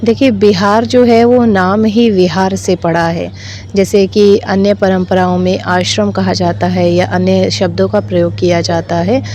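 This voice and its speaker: A woman speaks in a calm tone with very even loudness and hardly any pauses. Noticeable background noise is heard behind her. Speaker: Buddhist nun; Abhidhamma expert. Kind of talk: interview answer. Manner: calm, fluent.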